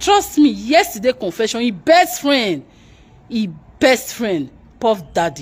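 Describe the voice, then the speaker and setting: At a very slow pace, a woman with a fairly high pitch and vocal fry moves through very wide pitch swings. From Nigeria. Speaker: YouTube news commentator; commentary vlogger. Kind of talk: live broadcast commentary. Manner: animated. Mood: upset, impassioned. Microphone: phone near.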